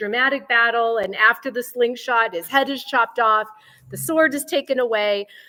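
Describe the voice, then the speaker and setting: Her voice is high-pitched, with a bright, sharp tone. The woman's intonation is lively. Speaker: Bible teacher at a women's gathering. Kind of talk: Bible teaching talk. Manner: casual, conversational.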